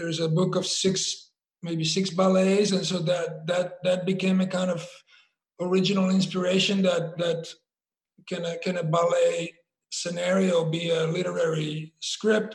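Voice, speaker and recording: The speaker has a Slovak accent and a fairly slow pace. Intonation stays monotone and flat. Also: man, high pitch for a man. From Slovakia. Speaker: theater director. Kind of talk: panel conversation. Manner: halting.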